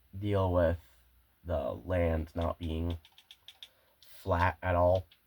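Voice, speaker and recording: Speaking at a very slow pace, a man uses a very deep, low pitch that is somewhat breathy and monotone, with flat intonation. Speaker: gaming video creator. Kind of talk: gameplay commentary. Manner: halting, self-correcting.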